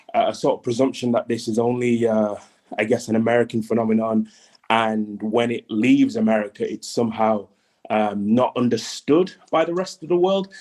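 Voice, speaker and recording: Speaking at a moderate pace, a man with a British accent has a medium pitch. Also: ordinary pitch variation. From UK. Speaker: audio chat room participant. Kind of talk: group discussion. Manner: hesitant, many fillers.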